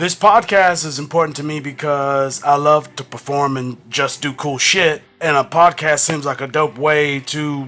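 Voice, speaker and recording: Amid noticeable background noise, a man speaks at a moderate pace with fairly high pitch and fairly even intonation. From San Diego, California. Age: 40s. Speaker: podcast co-host. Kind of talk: casual chat.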